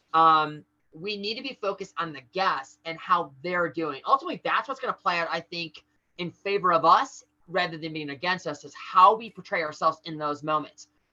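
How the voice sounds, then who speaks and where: A woman talks at a fairly quick pace with a bright, sharp tone and a fairly low pitch. Her pitch varies in an ordinary way, while her loudness swings widely. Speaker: corporate trainer. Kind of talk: training call. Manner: fast.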